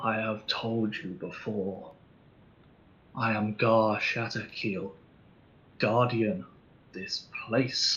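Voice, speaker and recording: Putting on a character voice at a medium pitch, a man speaks at a very slow pace with long, frequent pauses. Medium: actual play. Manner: terse, commanding.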